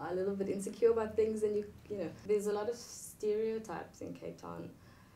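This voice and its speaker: Noticeable background noise sits behind this woman. She speaks at a moderate pace. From South Africa. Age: 20s. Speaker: university student. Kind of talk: interview answer. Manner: casual, chatty.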